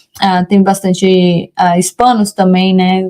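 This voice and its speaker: A woman's dark, mellow voice, monotone and flat, at a fairly slow pace. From Brazil, Rondônia. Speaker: immigration lawyer. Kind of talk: interview. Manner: halting, with many self-corrections.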